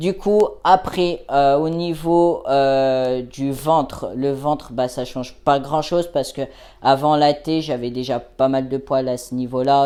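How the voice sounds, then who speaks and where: A dark, mellow tone at a very slow pace, with fairly even intonation, on a very clean recording with a silent background. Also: man. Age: 20s. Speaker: vlogger. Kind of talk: video diary. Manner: casual, hesitant with fillers.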